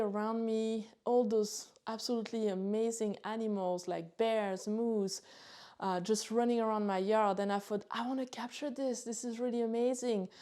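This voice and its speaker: Speaking in a French accent, a woman talks at a moderate pace with a dark, mellow tone at fairly high pitch. Her intonation is monotone and flat on a very clean recording with a silent background. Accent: French accent, retained. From France, near Chalon-sur-Saône. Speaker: photographer and gear youtuber. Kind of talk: casual vlog talk. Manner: hesitant, many fillers.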